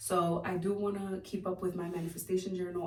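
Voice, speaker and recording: Audible room echo surrounds a somewhat breathy voice with a dark, mellow tone and monotone, flat intonation. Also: woman. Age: 20s. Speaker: lifestyle vlogger. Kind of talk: casual vlog monologue. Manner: hesitant, many fillers.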